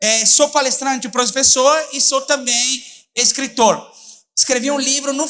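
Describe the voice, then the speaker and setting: A man with an Italian accent projects his voice at an extremely high pitch. The tone is bright and sharp. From Italy. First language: Italian (speaking Portuguese). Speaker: public prosecutor and lecturer. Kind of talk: conference talk. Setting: stage with audience. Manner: mumbled speech.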